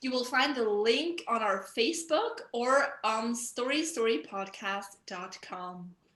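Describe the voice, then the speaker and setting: A woman with a non-native accent and a fairly high voice at a fairly slow pace with lively intonation, amid noticeable background noise. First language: not English. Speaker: podcast co-host. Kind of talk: scripted announcement. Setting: video call.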